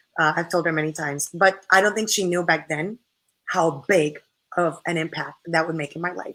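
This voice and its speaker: A woman with a Spanish accent talks at a moderate pace, with ordinary pitch variation. Her pitch is fairly low and her tone bright and sharp. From Puerto Rico. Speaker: model and spokesperson. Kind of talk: interview. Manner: animated.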